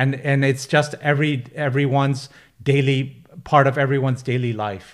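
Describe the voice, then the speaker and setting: A man speaks at a moderate pace in a monotone, flat intonation. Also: fairly high pitch for a man. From Pakistan, raised in the UK. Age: 40s. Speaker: internet entrepreneur and author. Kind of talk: casual interview chat.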